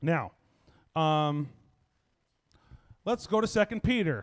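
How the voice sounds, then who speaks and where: A man with an American accent talks in a fairly high voice. His intonation is lively. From United States. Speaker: Bible teacher. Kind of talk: conference teaching.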